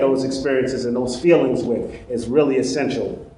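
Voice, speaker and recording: In a Brooklyn accent, a man talks at a moderate pace amid noticeable background noise and audible room echo. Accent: Brooklyn New York. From Brooklyn, New York. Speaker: trainer. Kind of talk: lecture.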